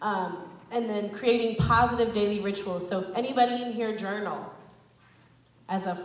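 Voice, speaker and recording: Noticeable background noise and audible room echo surround this woman's voice. She keeps a moderate pace at medium pitch with fairly even intonation. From South Central Los Angeles, Crenshaw. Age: 20s. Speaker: mental health outreach speaker. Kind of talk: talk to students. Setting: school auditorium with audience.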